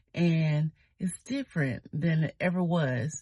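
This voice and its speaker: Breathiness runs through this woman's very deep, low voice. Her tone is dark and mellow, with fairly even intonation. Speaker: YouTuber. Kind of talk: casual vlog talk. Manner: slow, sometimes fumbling for words.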